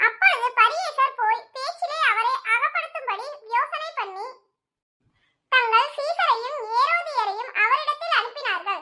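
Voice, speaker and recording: A woman speaks in a squeaky voice at an extremely high pitch. Her pace is fairly slow and her intonation lively. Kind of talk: Bible reading. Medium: read story. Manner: measured, formal, reverent.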